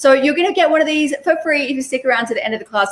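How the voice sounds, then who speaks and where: The intonation is lively. It belongs to a woman. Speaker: online business coach. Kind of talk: live webinar teaching. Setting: live stream. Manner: fast.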